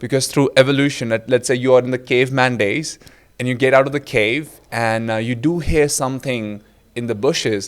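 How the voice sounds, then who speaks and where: On a very clean recording with a silent background, a man with an Indian accent talks at a fairly quick pace with fairly even intonation. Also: medium pitch for a man. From India, Delhi. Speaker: presentation skills coach. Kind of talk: interview storytelling.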